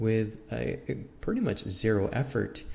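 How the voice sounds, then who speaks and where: A man talks with a Spanish accent. Room echo is audible. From Mexico (Mexico City). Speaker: philosophy lecturer. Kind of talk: lecture. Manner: halting, many repetitions and fillers.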